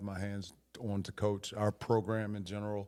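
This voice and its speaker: In a very clean recording with a silent background, a man with an American accent speaks in a monotone, flat intonation with a dark, mellow tone and fairly low pitch. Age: 60s. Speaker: high school football coach. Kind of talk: casual interview. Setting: coaching clinic.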